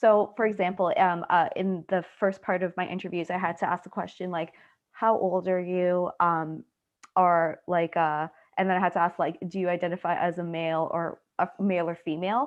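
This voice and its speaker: A woman with a slight Trinidadian accent speaks at a moderate pace and fairly low pitch in a flat monotone. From Canada, Trinidadian family. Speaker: student researcher. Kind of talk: Q&A discussion.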